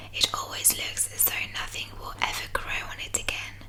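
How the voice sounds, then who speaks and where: Over noticeable background noise, a woman whispers in a soothing tone. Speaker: ASMR artist. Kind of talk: bedtime story reading. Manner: whispered, slow, soothing.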